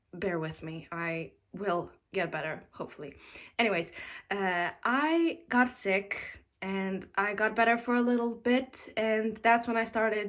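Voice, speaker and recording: A woman's fairly high voice with lively intonation at a fairly slow pace. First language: not English. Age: 20s. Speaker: mom vlogger. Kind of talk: casual vlog talk. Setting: daughter's room at home. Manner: hesitant with fillers.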